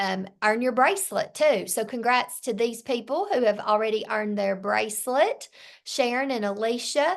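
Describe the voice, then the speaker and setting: In a quiet background, a woman with a fairly high pitch talks at a fairly slow pace with ordinary pitch variation. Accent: Southern US. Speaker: sales team leader. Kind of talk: team training meeting.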